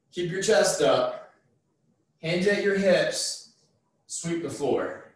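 A man speaks at a very slow pace amid strong room echo. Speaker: fitness instructor. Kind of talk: workout tutorial instruction. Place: garage. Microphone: camera far.

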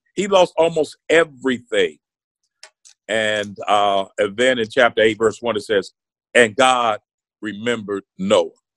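Over a quiet background, a man of medium pitch speaks with lively intonation at a fairly slow pace, taking long, frequent pauses, in a dry sound with no echo. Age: 50s. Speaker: senior pastor. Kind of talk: casual chat. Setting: video podcast recording. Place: home room. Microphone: video call.

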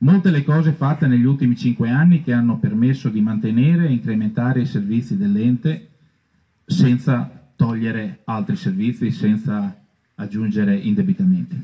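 Over a quiet background, the voice moves at a moderate pace with lively intonation and a dark, mellow, somewhat breathy tone. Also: man, medium pitch for a man. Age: 50s. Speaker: council candidate, outgoing councillor. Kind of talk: reading a prepared programme. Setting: outdoors in a park. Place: garden. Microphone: camera far.

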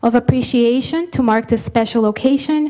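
A woman with a high pitch and ordinary pitch variation. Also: quiet background. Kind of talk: formal instructions to an audience. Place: hall. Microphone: podium.

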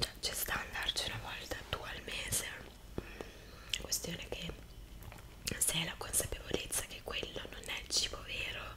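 A woman whispers, leaving long, frequent pauses. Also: moderate pace. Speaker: ASMR creator. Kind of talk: ASMR eating video with casual chat. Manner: soft-spoken. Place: home room.

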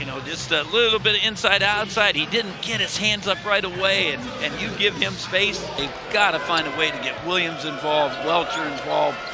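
Noticeable background noise sits behind a man speaking at a high pitch. He keeps a moderate pace with hardly any pauses. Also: ordinary pitch variation. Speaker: color commentator. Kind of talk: live sports commentary. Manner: analytical, conversational, steady pace.

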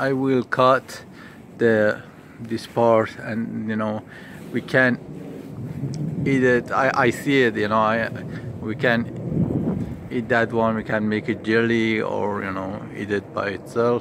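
Over noticeable background noise, the very slow speech has long, frequent pauses in a dry sound with no echo. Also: man. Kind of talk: casual vlog chat. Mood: disappointed, resigned. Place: garden. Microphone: phone near.

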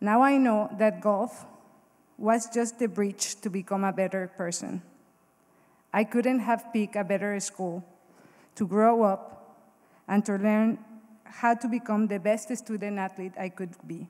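In a Mexican accent, a woman speaks at a fairly slow pace with fairly even intonation and long, frequent pauses against a quiet background. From Mexico. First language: Spanish. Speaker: Hall of Fame inductee, former college golfer. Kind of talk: acceptance speech, read from prepared text. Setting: stage with audience at ceremony. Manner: emotional, slightly halting. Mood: grateful, emotional. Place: hall. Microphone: podium.

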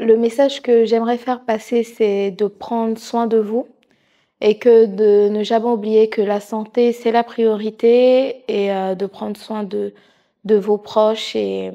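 A woman talks at a very slow pace, fairly high in pitch, with monotone, flat intonation. Her tone is dark and mellow, and the background is quiet. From Haitian heritage. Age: 30s. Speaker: nursing assistant and charity president. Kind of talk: interview monologue. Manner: hesitant with many fillers. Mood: warm, sincere. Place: studio. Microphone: lapel.

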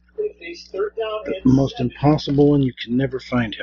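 A man's voice amid noticeable background noise. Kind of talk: casual vlog chat. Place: home room. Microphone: webcam.

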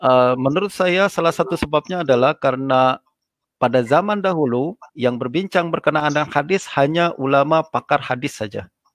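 A man speaks at a moderate pace with a fairly high pitch and ordinary pitch variation. The sound is dry with no echo, over a quiet background. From Indonesia. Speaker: Islamic scholar and lecturer; lecturer. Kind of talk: religious lecture. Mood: calm, earnest. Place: home room. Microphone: video call.

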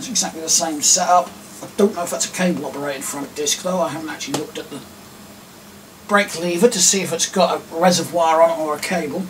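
A man with an English accent talks at a very fast pace and a high pitch, with ordinary pitch variation, big swings in loudness, and light background noise. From England. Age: 30s. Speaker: YouTuber. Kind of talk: casual vlog talk. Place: home room. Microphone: camera far.

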